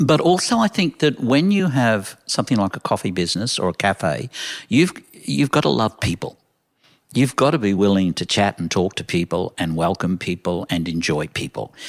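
A man's fairly low voice with an Australian accent, very wide pitch swings and a moderate pace, in a very clean recording with a silent background and a dry, close sound with no echo. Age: 70s. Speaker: coffee shop owner. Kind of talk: casual interview.

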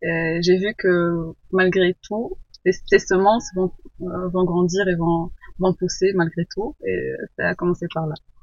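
Monotone and flat in intonation, a woman speaks at a very slow pace. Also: medium pitch for a woman. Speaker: permaculture student. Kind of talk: interview. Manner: halting.

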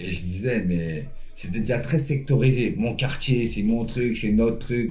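A man's dark, mellow, somewhat breathy voice at medium pitch and a fairly slow pace, with audible room echo. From Paris suburbs, France. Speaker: former pro basketball player, life coach. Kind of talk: casual interview. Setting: at the guest's home.

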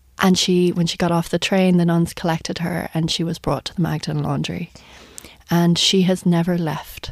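Speaking with an Irish accent, a woman with a fairly low voice keeps a moderate pace and a monotone, flat intonation. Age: 30s. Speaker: journalist and author. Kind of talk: radio interview. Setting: studio.

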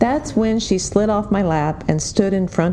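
Pitch varies in an ordinary way. The voice is a natural reading voice.

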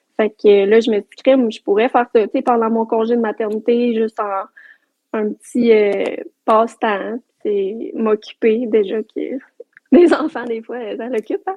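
Speaking in a Quebec accent, a woman talks at a fairly slow pace with a fairly high pitch, ordinary pitch variation, and long, frequent pauses. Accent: Québécois French. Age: 20s. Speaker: entrepreneur. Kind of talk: casual chat.

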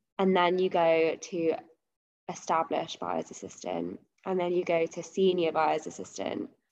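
At a moderate pace, a woman with a London accent talks in a fairly low pitch with ordinary pitch variation. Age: 20s. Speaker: fashion buyer. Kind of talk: casual interview.

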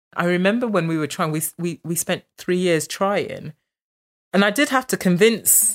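An unremarkable speaking voice from a woman, fairly low in pitch with ordinary pitch variation and a moderate pace, on a dry, close sound with no echo and a very clean recording with a silent background. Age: 40s. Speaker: interviewee sharing experience of infertility. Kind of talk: personal testimony. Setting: at her home.

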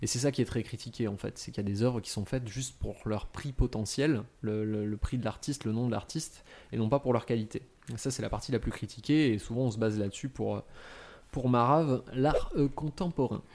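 Recorded very cleanly against a silent background, a man with an unremarkable speaking voice talks at a fairly quick pace, his pitch medium and its variation ordinary. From France, Franche-Comté. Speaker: podcast panelist presenting on contemporary art. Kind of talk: casual explanatory chat.

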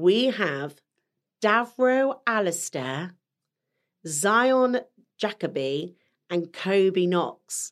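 On a very clean recording with a silent background, a woman of medium pitch speaks at a very slow pace with very wide pitch swings. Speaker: podcast co-host. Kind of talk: casual chat.

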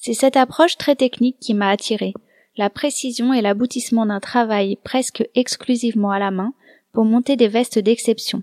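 With a dry, close sound and no echo, a woman uses a normal speaking voice, fairly high in pitch, at a moderate pace with fairly even intonation. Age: 30s. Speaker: podcast host and embroiderer. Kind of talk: scripted narration.

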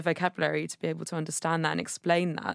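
The recording is very clean with a silent background and a dry, close sound with no echo. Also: woman. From England, Devon. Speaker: charity co-chair, helpline volunteer. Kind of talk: podcast interview.

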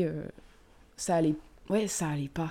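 The recording is very clean with a silent background as a woman speaks in a dark, mellow tone with fairly low pitch, vocal fry, and ordinary pitch variation. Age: 20s. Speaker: podcast guest sharing grief experience. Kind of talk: personal testimony in casual chat.

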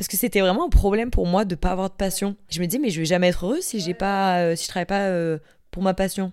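An ordinary speaking voice from a woman, medium in pitch with ordinary variation, at a fairly quick pace on a very clean recording with a silent background. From Marseille, southern France. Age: 20s. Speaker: young professional. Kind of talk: casual interview.

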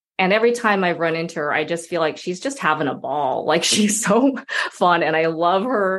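A woman with an American accent talks at a moderate pace and fairly low pitch, her intonation lively. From Utah, US. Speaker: actress. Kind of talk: interview. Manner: animated.

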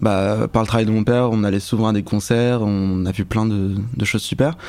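A man talks in a normal speaking voice. His pitch sits in the medium range, and his intonation stays fairly even. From Paris suburbs, France. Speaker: music video director. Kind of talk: casual chat.

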